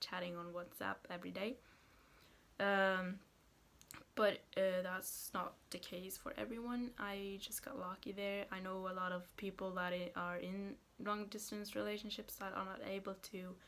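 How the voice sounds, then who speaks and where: A woman's medium-pitched voice in a Norwegian accent, at a moderate pace with fairly even intonation. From Norway, Haugesund area. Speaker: vlogger. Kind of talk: casual vlog talk. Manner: hesitant, many fillers.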